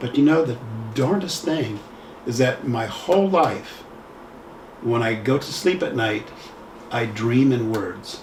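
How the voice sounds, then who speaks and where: A man with an American accent speaks at a fairly slow pace and medium pitch, with lively intonation and long, frequent pauses. Noticeable background noise and audible room echo fill the recording. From US Midwest, Lima Ohio. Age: 70s. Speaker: poet and photographer. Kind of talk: interview conversation. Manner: halting, with false starts.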